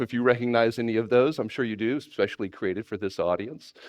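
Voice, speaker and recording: A man speaks in a Texan accent against a quiet background. The sound is dry and close, with no echo. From Texas. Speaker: animator and conference speaker. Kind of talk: conference talk. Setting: stage with audience. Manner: many filler words.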